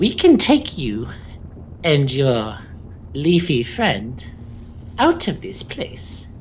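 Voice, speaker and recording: In a put-on character voice at a low-to-middle pitch, the speaker goes at a very slow pace with long, frequent pauses, and there is clear background noise. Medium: actual play. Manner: cackling, smooth and wheedling.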